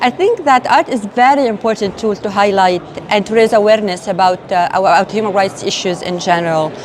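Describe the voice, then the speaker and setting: Speaking in an Arabic accent at a fairly quick pace with hardly any pauses, a woman with a medium-pitched voice is heard over noticeable background noise. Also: ordinary pitch variation. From Lebanon. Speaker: human rights advocate. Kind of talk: interview testimony. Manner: halting, many fillers.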